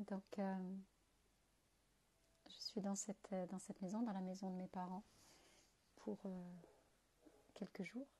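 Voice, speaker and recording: A woman speaks at a very slow pace, with long, frequent pauses. Her somewhat breathy voice has a dark, mellow tone and monotone, flat intonation. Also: medium pitch for a woman. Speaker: feng shui and home consultant. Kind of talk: live video monologue. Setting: parents' house, indoors. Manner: halting, many hesitations.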